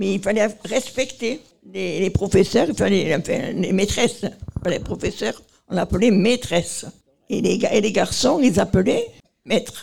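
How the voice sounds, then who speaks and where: The speaker talks at a very slow pace with vocal fry and long, frequent pauses. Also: woman, medium pitch for a woman, ordinary pitch variation. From Marseille, southern France. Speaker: nursing home resident. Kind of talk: interview. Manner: halting.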